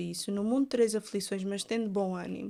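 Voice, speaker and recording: In an Algarve accent, a woman speaks at a fairly quick pace and fairly high pitch. Her tone is relaxed, and the recording is very clean with a silent background. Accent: Algarvian Portuguese. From Algarve, southern Portugal. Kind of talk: casual faith discussion. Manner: relaxed, informal speech.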